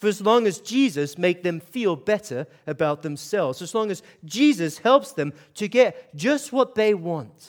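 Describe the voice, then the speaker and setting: A man with a Scottish accent speaks at a high pitch. His fairly slow delivery has very wide pitch swings. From Scotland, Aberdeen. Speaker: pastor. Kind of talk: sermon. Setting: church with audience.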